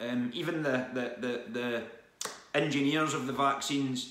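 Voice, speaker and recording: A man talks with ordinary pitch variation, and room echo can be heard. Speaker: vlogger. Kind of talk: casual vlog chat. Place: home room. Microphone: phone near.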